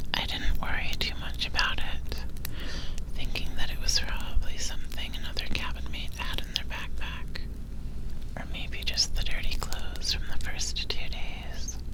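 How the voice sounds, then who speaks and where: Whispering and soft-spoken, a man talks at a moderate pace. Noticeable background noise can be heard. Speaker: ASMR vtuber. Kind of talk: ASMR sleep story. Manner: whispered, soft-spoken.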